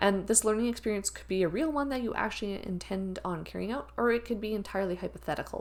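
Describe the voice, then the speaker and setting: Medium in pitch, a woman talks at a very fast pace with hardly any pauses. Her pitch varies in an ordinary way. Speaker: university instructor. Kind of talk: lecture.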